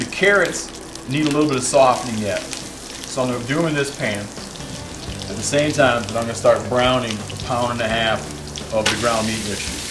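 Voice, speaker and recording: With music in the background, this man talks using ordinary pitch variation. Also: moderate pace. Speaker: cooking show host. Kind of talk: tutorial. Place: kitchen.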